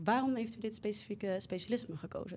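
At a fairly quick pace, a woman talks in an unremarkable speaking voice with ordinary pitch variation. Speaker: medical student podcast host. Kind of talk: interview.

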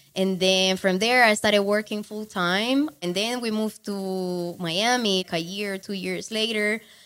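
A woman with a Colombian accent at medium pitch, fairly slow and nearly pause-free, her intonation fairly even. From Cali, Colombia. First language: Spanish. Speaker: online marketing entrepreneur. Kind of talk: interview. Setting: recorded in Cali, Colombia.

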